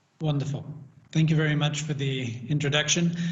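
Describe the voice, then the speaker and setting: A man talks in a room with audible echo. Noticeable background noise is present too. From Britain. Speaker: panel moderator. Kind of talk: panel moderation.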